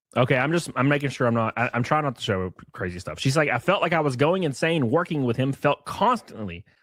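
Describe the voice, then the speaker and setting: A man at a medium pitch with vocal fry, very wide pitch swings and a fairly quick pace, on a very clean recording with a silent background. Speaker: commentary streamer. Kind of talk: casual live stream commentary. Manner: stuttering.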